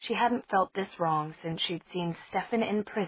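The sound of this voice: Pitch varies in an ordinary way as the text is read in an unforced voice.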